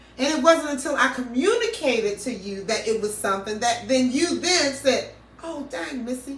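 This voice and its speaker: A woman talks at a moderate pace with lively intonation and a high pitch. Room echo is audible. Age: 50s. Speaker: podcast co-host. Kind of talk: casual chat.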